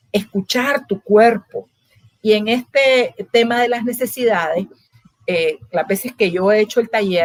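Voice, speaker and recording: A woman speaks in an ordinary speaking voice, fairly high in pitch, with ordinary pitch variation at a fairly slow pace. The sound is dry and close with no echo. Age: 60s. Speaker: psychologist. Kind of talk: interview conversation.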